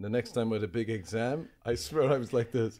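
Speaking with an Irish accent, a man keeps a moderate pace at a fairly low pitch. The recording is very clean, with a silent background. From Ireland. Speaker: comedian. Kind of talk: casual chat.

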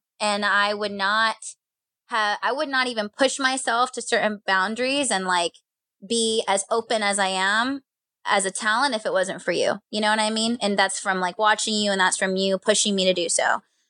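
Loud and bright, with a sharp tone, a woman talks at a moderate pace in a fairly high pitch, recorded dry and close with no echo. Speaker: radio phone screener and social media producer. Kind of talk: casual chat. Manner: animated.

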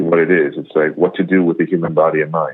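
A man speaks in a New York accent at a fairly quick pace. His intonation is monotone and flat. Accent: New York American. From US, New York. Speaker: Buddhist monk. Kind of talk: interview. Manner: halting.

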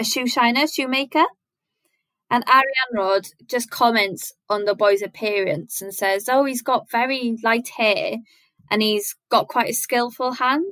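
The voice carries a south-west Wales accent. Its tone is bright and sharp, with ordinary pitch variation. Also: woman. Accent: Welsh (south-west Wales). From Wales, Carmarthen. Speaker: illustrator and artist. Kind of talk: casual interview chat.

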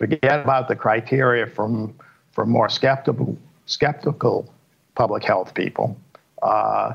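Vocal fry marks a man's medium-pitched voice, which keeps a fairly even intonation. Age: 70s. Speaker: epidemiologist. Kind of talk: news interview.

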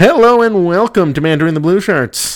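This is a put-on character voice from a man, pitched high. He keeps a moderate pace. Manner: showy, over-the-top announcer.

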